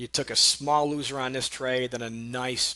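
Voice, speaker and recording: Over a quiet background, a man speaks with a monotone, flat intonation. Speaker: day trading educator. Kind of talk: trading recap tutorial. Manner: fast; casual, conversational.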